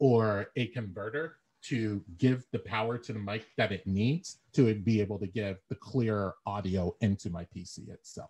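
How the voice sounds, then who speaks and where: Somewhat breathy and fairly low-pitched, a man speaks at a moderate pace with ordinary pitch variation and big swings in loudness, in a dry, close sound with no echo. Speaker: public speaking club leader. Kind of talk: tutorial.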